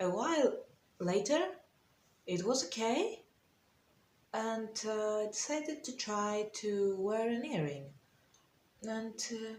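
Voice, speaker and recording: A woman with a non-native accent speaks at a fairly high pitch, somewhat breathy, with lively intonation and long, frequent pauses. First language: not English. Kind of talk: casual storytime talk to camera.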